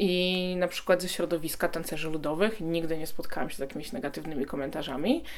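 Talking fairly quickly, a woman keeps to a fairly low pitch. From Poland. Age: 20s. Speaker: TikToker and activist. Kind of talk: interview.

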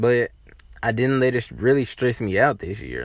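Lively intonation from a male speaker. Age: 20s. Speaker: podcast host. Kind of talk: casual monologue. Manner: halting, many fillers.

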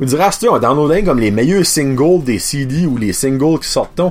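A man speaks in an animated tone. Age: 30s. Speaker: podcast host. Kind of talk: casual chat.

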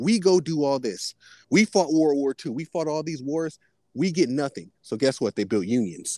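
Over a silent background on a very clean recording, a man with an unremarkable speaking voice talks at a moderate pace, his fairly high pitch carrying lively intonation in a dry, close sound with no echo. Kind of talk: casual chat.

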